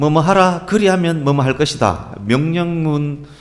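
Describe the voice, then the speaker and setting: A man talks at a fairly slow pace. He speaks in a Gyeongsang accent. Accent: Gyeongsang regional Korean. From Gyeongsang region, Korea. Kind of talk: preaching, explanatory.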